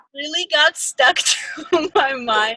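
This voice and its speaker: A woman with an Armenian accent at a very slow pace, dry and close with no echo. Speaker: fan podcast host. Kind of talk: casual chat. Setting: video call.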